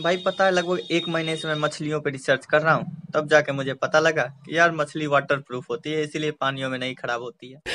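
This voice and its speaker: The speech moves at a moderate pace with fairly even intonation and hardly any pauses. Light background noise sits underneath. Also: man. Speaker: short-video creator. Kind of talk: casual joke monologue. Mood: playful, joking. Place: home room. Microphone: phone near.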